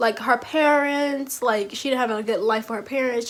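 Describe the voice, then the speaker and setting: This loud voice moves at a fairly quick pace with fairly even intonation. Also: woman. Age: 20s. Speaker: youtuber. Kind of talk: casual commentary vlog.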